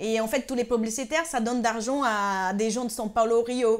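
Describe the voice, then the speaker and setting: In a very clean recording with a silent background, a woman with a high pitch talks at a moderate pace with fairly even intonation. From northeast Brazil. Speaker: TV presenter, singer and actress. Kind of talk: interview.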